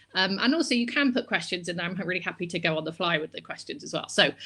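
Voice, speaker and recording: A woman with a Bristol accent talks at a very fast pace in a bright, sharp tone, captured in a very clean recording with a silent background. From England, Bristol. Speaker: publishing professional. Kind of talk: live-streamed Q&A interview. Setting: live video stream.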